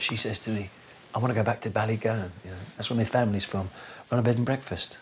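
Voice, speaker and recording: With noticeable background noise behind him, a man speaks very fast in a fairly low voice with fairly even intonation. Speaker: interviewee. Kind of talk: casual chat.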